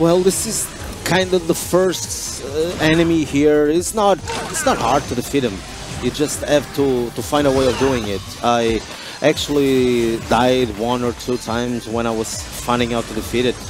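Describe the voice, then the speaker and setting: A man with a Portuguese accent, medium pitch, lively intonation and moderate pace, with music in the background. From Portugal. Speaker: gaming youtuber. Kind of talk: gameplay commentary. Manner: hesitant, many fillers.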